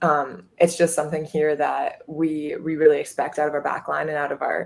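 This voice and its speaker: With a slight Minnesota accent, a woman speaks at a very deep, low pitch in a monotone, flat intonation. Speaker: college soccer goalkeeper. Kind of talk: interview.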